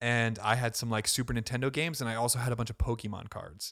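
An unremarkable speaking voice belongs to a man with an American accent who talks at a fairly quick pace and medium pitch. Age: 20s. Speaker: podcast co-host. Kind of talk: casual chat; announcement to listeners.

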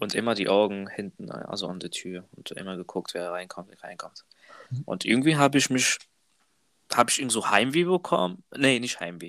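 Using an ordinary speaking voice, a man talks at a moderate pace with a fairly low pitch and lively intonation. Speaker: trainee apprentice, podcast co-host. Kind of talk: casual chat.

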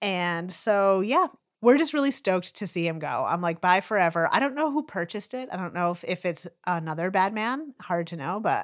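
An ordinary speaking voice from a woman at medium pitch and moderate pace, lively in intonation, on a very clean recording with a silent background. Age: 40s. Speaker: podcast co-host and law student. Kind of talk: casual chat.

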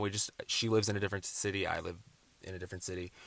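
On a very clean recording with a silent background, a man with an American accent speaks very fast in a fairly low pitch with a bright, sharp tone. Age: 20s. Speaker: podcaster. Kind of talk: casual monologue.

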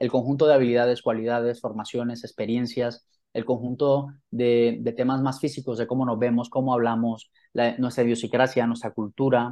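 Monotone and flat in intonation, a man speaks at a medium pitch. He keeps a moderate pace. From Colombia, Santa Marta (Caribbean coast). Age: 40s. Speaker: author and professional development trainer. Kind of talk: interview.

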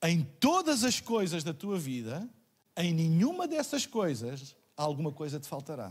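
A man with a European Portuguese accent, high-pitched for a man, at a fairly slow pace with very wide pitch swings. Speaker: pastor. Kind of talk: sermon. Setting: church livestream.

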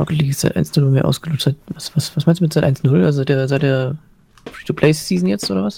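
With lively intonation and a somewhat breathy, dark, mellow tone, a man speaks at a fairly high pitch and a fairly quick pace. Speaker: gamer and commentator. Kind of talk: casual chat. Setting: live Twitch stream.

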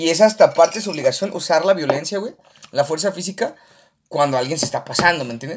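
This man's pitch is high, with ordinary variation. He speaks at a very fast pace with big swings in loudness. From Mexico, Aguascalientes. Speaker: podcast co-host. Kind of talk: casual chat. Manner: animated.

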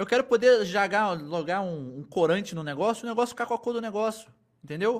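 At a fairly quick pace, a man speaks in a high pitch on a very clean recording with a silent background. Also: lively intonation. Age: 20s. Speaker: history teacher and content creator. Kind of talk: casual chat.

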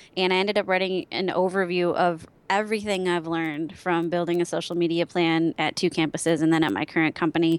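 A fairly low-pitched woman at a very fast pace, with hardly any pauses and fairly even intonation, in a very clean recording against a silent background. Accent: American. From Wisconsin. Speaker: social media strategist. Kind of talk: interview.

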